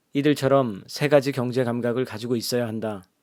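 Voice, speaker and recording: The speaker is a man with an unremarkable speaking voice, set at a medium pitch with fairly even intonation. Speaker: audiobook narrator. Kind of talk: audiobook reading. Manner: soft, ASMR-style.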